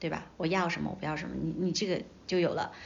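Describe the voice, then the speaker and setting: A woman talks at a very fast pace in a fairly low pitch, with vocal fry. Audible room echo surrounds her voice. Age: 30s. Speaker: media veteran and entrepreneur. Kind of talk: casual interview chat.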